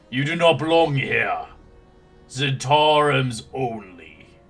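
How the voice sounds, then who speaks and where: Putting on a booming character voice, a man speaks very slowly at a fairly high pitch with fairly even intonation, faint music playing in the background. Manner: threatening, commanding.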